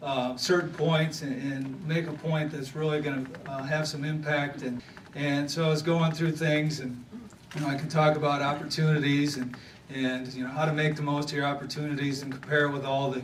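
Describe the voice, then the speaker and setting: A man with a Southern US accent talks at a fairly quick pace in a fairly high, monotone, flat voice, with audible room echo and noticeable background noise. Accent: picked-up Southern. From Wisconsin (Thorpe). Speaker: former pro football player, banquet speaker. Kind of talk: motivational speech. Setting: banquet stage with audience. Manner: halting, many fillers.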